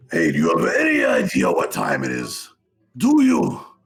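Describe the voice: A raspy, put-on character voice moves at a moderate pace. Music plays in the background, and there is audible echo. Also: man.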